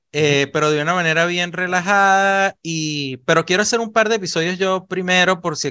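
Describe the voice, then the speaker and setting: A man with a bright, sharp tone speaks at a fairly quick pace over a quiet background. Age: 40s. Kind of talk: casual chat.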